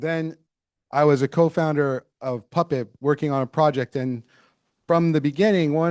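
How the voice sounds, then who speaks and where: This man has an unremarkable speaking voice, fairly high in pitch, with fairly even intonation at a moderate pace. The sound is dry and close with no echo, over a quiet background. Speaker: tech conference keynote speaker. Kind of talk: keynote talk.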